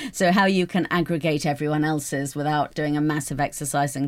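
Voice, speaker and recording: In a British accent, a woman with a very deep, low pitch talks at a very fast pace with fairly even intonation. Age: 50s. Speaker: newspaper columnist. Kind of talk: casual chat. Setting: studio.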